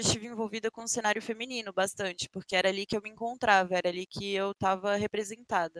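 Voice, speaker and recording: A woman's fairly high-pitched voice, an ordinary speaking voice, with fairly even intonation. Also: dry, close sound with no echo. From Brasília, Brazil. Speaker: Apex Legends streamer. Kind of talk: casual interview. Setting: live stream.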